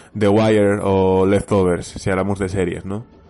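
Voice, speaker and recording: Over a quiet background, a man with a fairly low pitch and a dark, mellow tone speaks at a moderate pace. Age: 30s. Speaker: podcast listener. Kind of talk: recorded voice message. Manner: halting.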